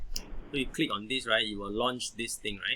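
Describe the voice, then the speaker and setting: A man speaks with a bright, sharp tone. His intonation is fairly even. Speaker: software instructor. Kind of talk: online tutorial. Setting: video call with screen sharing. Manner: fast.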